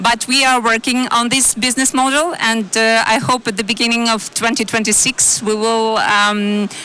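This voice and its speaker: A woman's fairly high voice, moderate in pace and fairly even in intonation, with very even loudness, hardly any pauses and noticeable background noise. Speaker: energy company executive, panelist. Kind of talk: panel discussion. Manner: halting, many fillers.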